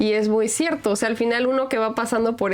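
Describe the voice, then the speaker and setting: Her fairly high voice shows ordinary pitch variation as this woman speaks. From Mexico. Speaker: podcast host. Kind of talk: casual chat.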